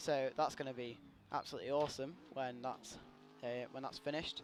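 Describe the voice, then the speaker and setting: A man with a British accent talks at a moderate pace. His medium-pitched voice keeps fairly even intonation. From Britain. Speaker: gaming streamer and drifter. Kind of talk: live gameplay commentary. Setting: live stream. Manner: casual, chatty.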